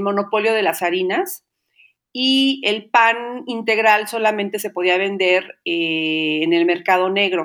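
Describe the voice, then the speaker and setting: A woman speaks at a very slow pace. Her tone is bright and sharp, with ordinary pitch variation. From Mexico, Xalapa, Veracruz. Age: 50s. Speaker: baker and Pilates teacher. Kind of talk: interview.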